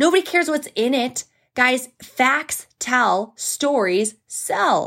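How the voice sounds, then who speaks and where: The pitch swings very widely in a very clean recording with a silent background. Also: woman. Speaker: podcast host, network marketing coach. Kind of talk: solo podcast monologue. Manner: casual, chatty.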